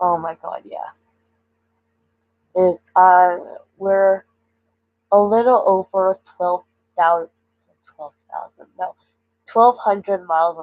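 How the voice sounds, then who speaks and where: With a Canadian accent, the speaker goes at a very slow pace with long, frequent pauses, fairly even intonation and big swings in loudness. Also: woman, medium pitch for a woman. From British Columbia, Canada. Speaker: streamer. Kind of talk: live stream chat. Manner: halting.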